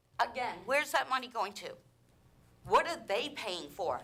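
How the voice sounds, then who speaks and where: Raised and projected, a woman's bright, sharp voice moves at a fairly slow pace through very wide pitch swings. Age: 60s. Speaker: resident speaking at public comment. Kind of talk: public comment at council meeting. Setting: city council meeting chamber. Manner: animated, exasperated.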